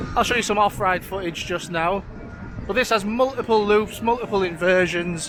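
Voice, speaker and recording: Over music in the background, a man speaks at a moderate pace in a high pitch with fairly even intonation. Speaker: vlogger for a coach trip operator. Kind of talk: travel vlog walkthrough. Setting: outdoors at a theme park. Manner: casual with many fillers; shouting.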